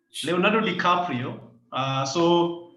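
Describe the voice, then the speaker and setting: A loud man with a high voice, a fairly slow pace, and audible room echo. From Kenya. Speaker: climate and environmental rights activist. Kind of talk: video call interview. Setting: video call. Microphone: echoey room.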